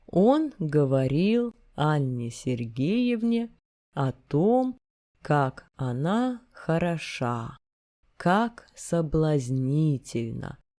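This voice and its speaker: A woman speaks very slowly in a very deep, low voice with a dark, mellow tone and very wide pitch swings. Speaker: narrator reading literature. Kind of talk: reading aloud.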